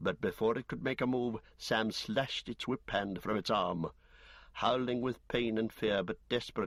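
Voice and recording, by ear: The passage is read aloud in a natural voice.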